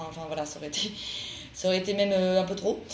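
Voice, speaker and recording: Amid noticeable background noise and audible room echo, a woman talks at a very fast pace with medium pitch and fairly even intonation. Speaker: tarot card reader. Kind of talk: tarot reading monologue. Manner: hesitant, many fillers.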